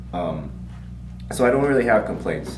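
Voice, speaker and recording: Noticeable background noise and audible room echo surround a man's voice. His pitch swings very widely. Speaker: martial arts school owner. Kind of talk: casual chat. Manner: halting.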